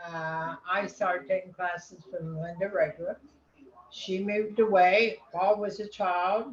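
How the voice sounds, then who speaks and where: With an American accent, a woman talks fairly slowly in a somewhat breathy voice. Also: medium pitch for a woman, fairly even intonation. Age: 80s+. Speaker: amateur painter. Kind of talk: casual self-introduction. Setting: video call.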